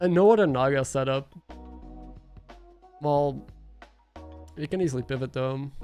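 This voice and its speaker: With music in the background, a man of fairly high pitch speaks at a moderate pace with ordinary pitch variation and long, frequent pauses. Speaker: streamer and commentator. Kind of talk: live stream commentary.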